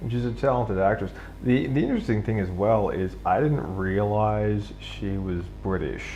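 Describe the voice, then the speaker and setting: The voice moves at a moderate pace, with audible room echo around it. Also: man. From Australia. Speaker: live streamer. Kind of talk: casual monologue during live drawing stream. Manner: hesitant, many fillers.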